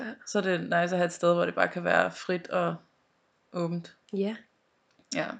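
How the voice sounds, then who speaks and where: Slow-paced and fairly low-pitched, a woman speaks with fairly even intonation. She leaves long, frequent pauses. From Denmark, North Zealand. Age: 20s. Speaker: podcast co-host. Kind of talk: casual chat.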